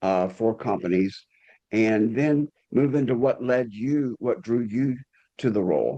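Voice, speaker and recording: With a strong Southern US accent, this voice has a dark, mellow tone, a fairly slow pace and ordinary pitch variation. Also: man, very even loudness, quiet background. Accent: deep Southern US. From US South. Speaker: podcast host. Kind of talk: podcast interview.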